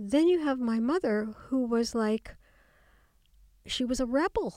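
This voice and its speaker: A woman speaks at a high pitch with an American accent. The recording is very clean, dry and close, with a silent background and no echo. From US. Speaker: memoirist and psychotherapist. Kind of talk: interview.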